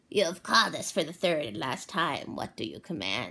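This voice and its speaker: This put-on character voice is raspy, sits at a low-to-middle pitch, and moves at a moderate pace. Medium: read story.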